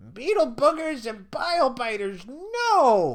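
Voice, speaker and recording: At a fairly slow pace, a man performs a put-on character voice at an extremely high pitch. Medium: read story.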